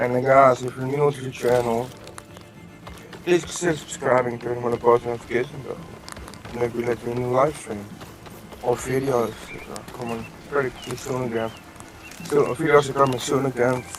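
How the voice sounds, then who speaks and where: Quiet and medium in pitch, a man speaks at a moderate pace with fairly even intonation and long, frequent pauses over noticeable background noise. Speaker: gaming streamer. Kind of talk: live stream commentary. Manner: halting.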